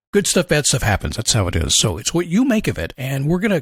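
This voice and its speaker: Full of vocal fry, a man races along at a very fast pace with very wide pitch swings. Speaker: motivational podcast host. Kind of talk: motivational monologue. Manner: casual, conversational.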